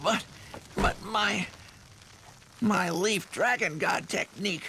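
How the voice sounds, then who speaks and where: Putting on a cartoonish character voice, a man talks high-pitched at a fairly slow pace amid clear background noise. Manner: blunt.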